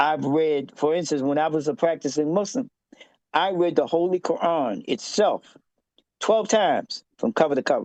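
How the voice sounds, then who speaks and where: A man with an American accent and a high voice, lively intonation, a moderate pace and a dry, close sound with no echo. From US, Baltimore, Maryland. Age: 70s. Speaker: Afrocentric scholar and author. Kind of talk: interview. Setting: podcast. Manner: halting, with repeated false starts.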